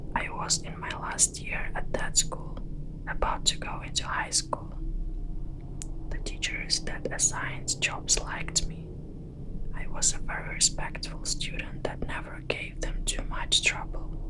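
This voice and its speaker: Against noticeable background noise, a whisper moves at a fairly slow pace. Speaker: ASMR storyteller. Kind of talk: horror story narration. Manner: whispered.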